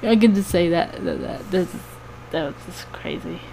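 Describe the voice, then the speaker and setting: A woman speaks softly. Noticeable background noise runs behind her. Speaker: cosplayer and fursuit maker. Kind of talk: casual vlog chat. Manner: quiet, soft-spoken; hesitant, many fillers.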